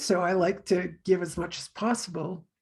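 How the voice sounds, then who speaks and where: A woman's somewhat breathy voice has a dark, mellow tone at a medium pitch. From Canada. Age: 60s. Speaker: tarot reader. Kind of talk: casual chat.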